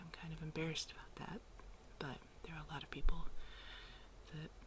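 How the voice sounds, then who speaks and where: Soft-spoken, the speaker talks at a very fast pace. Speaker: artist. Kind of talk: ASMR soft talking. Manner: casual, rambling.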